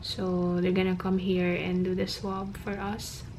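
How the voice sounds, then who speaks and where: A woman whispering at a moderate pace, with noticeable background noise and audible room echo. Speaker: vlogger. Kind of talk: casual vlog talk. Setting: hotel room.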